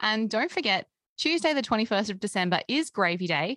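A woman with an Australian accent and lively intonation, recorded dry and close with no echo. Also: quiet background. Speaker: music podcast host. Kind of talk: casual chat; scripted narration.

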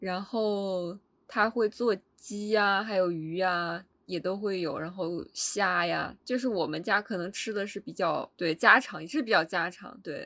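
The tone is bright and sharp, with ordinary pitch variation, and the recording is very clean with a silent background. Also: woman, medium pitch for a woman. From Hulunbuir, eastern Inner Mongolia. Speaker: podcast co-host. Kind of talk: casual chat.

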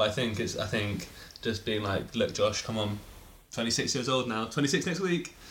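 Amid audible room echo, a man speaks at a moderate pace with lively intonation. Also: medium pitch for a man. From England. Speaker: friend of the host. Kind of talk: casual chat.

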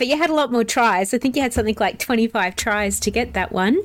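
Speaking at a very fast pace, a woman uses a high-pitched voice. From South Australia. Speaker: board game podcast host. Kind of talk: casual chat.

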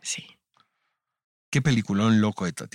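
A man at a moderate pace, dry and close with no echo, on a very clean recording with a silent background. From Mexico, Tijuana. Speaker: podcast host. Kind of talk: casual interview chat.

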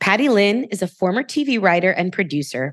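An animated woman with lively intonation at a moderate pace, her dry, close sound free of echo against a quiet background. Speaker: podcast host and author. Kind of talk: casual interview chat.

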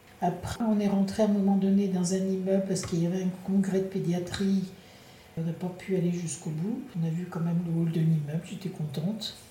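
Over noticeable background noise and audible room echo, a woman speaks fairly quickly at a medium pitch in a flat monotone. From France, La Rochelle. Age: 60s. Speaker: retiree traveller. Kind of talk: interview testimony.

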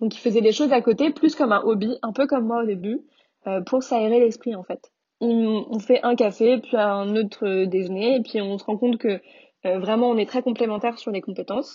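A woman with a plain, everyday voice speaks at a moderate pace and fairly high pitch, with ordinary pitch variation. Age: 20s. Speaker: food entrepreneur. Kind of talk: interview.

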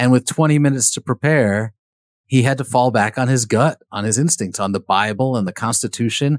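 A man speaks at a fairly quick pace in an unremarkable speaking voice, with ordinary pitch variation, on a very clean recording with a silent background. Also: medium pitch for a man. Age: 50s. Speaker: biographer and author. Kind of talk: interview.

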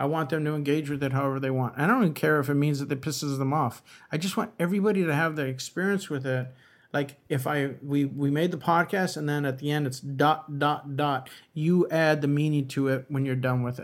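A man's plain, everyday voice with an American accent, fairly high in pitch, at a fairly quick pace with fairly even intonation, on a very clean recording with a silent background. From US West Coast, East Los Angeles. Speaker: podcast co-host, writer and former bank robber. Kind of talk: interview.

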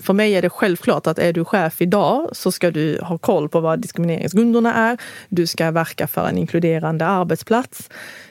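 A normal speaking voice from a woman, fairly low in pitch with ordinary pitch variation, at a moderate pace with hardly any pauses. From moved to Sweden at age five. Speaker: union representative. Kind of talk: casual chat.

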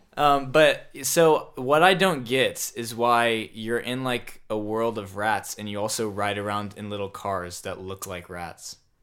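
Using a plain, everyday voice, a man speaks at medium pitch with lively intonation. His pace is fairly slow, yet he leaves hardly any pauses. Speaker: guest, family member. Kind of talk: casual chat.

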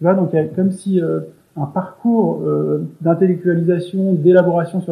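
At a moderate pace, a man speaks in a high pitch with monotone, flat intonation. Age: 30s. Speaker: interviewee sharing personal story. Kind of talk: casual interview. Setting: remote call. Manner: soft-spoken; halting. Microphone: poor recording quality.

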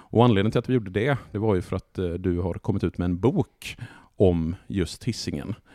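Fairly low-pitched male voice with a dark, mellow tone, moderate pace and ordinary pitch variation, in a dry, close sound with no echo. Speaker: podcast host. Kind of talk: casual chat. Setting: home living room.

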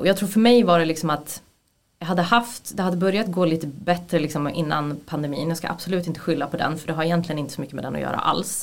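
A woman is speaking. Her pace is very fast. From Sweden, Gävle. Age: 30s. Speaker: former actor, film assistant director. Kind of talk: casual interview. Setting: studio.

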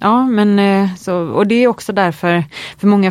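Here the voice belongs to a woman. The pitch moves with ordinary variation. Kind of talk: casual interview chat. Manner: hesitant, many fillers.

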